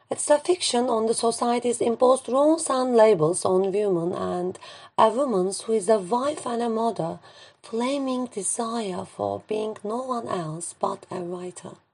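A woman speaks in a Turkish accent at a fairly slow pace. Her pitch is fairly high and her intonation lively. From Turkey. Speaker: poet and English teacher. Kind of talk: poetry reading.

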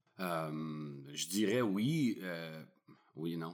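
A man speaks with lively intonation. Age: 30s. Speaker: entrepreneur and photographer. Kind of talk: interview. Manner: halting, many repetitions.

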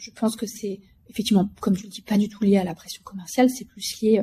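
A woman's fairly high, somewhat breathy voice with a dark, mellow tone, at a moderate pace. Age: 40s. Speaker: company executive. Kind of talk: interview.

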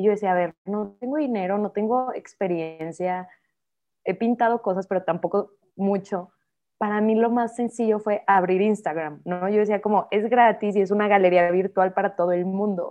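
A woman with a plain, everyday voice, medium pitch, moderate pace and fairly even intonation. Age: 30s. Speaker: painter. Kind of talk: casual interview chat.

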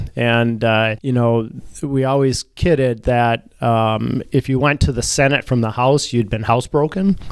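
A man speaks with an Upper Midwest accent at a fairly slow pace. His medium pitch shows ordinary variation, and his loudness stays very even. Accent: Upper Midwest (Minnesota). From Minnesota. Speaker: city mayor, navy reserve officer. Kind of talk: interview conversation.

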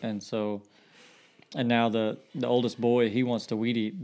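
Here a man with an unremarkable speaking voice talks at medium pitch with fairly even intonation. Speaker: guest speaker. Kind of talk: casual Bible study chat.

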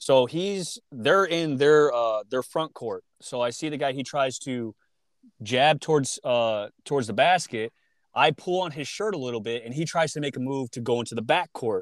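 At a moderate pace, a man with an unremarkable speaking voice and fairly high pitch talks with ordinary pitch variation on a very clean recording with a silent background. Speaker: podcast host. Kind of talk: casual chat.

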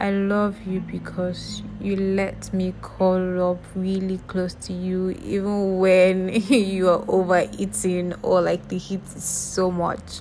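Music plays behind a woman with a warm tone. She speaks at a very slow pace. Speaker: podcast host. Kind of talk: spoken-word love letter, read aloud. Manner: tender, warm, intimate, dreamy, slow and sincere, repeating 'I love you because'; affectionate, gushing and sweet.

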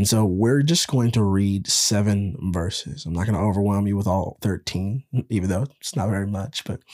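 A man at a moderate pace in a fairly low pitch, a normal speaking voice with ordinary pitch variation, on a very clean recording with a silent background and a dry, close sound with no echo. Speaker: podcast host and devotional leader. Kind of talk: guided prayer meditation.

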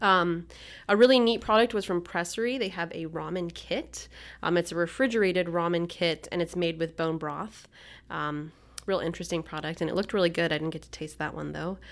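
A woman with an unremarkable speaking voice talks at a fairly quick pace in a fairly low pitch, with ordinary pitch variation and big swings in loudness, on a very clean recording with a silent background. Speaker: magazine editor. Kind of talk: casual chat.

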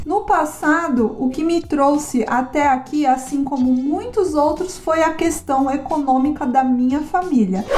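A woman with a high-pitched voice talks at a fairly slow pace with hardly any pauses, her loudness very even and her pitch varying in an ordinary way over noticeable background noise. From Brazil and Japan (São Paulo / 18 years in Japan). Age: 30s. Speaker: podcast host. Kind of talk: casual personal narration.

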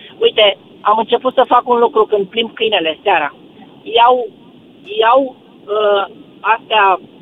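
A man at a high pitch over noticeable background noise. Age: 70s. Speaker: radio caller. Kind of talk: phone-in call.

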